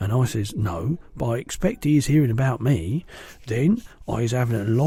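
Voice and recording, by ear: Reading aloud in a natural voice, this speaker's pitch moves in an ordinary way.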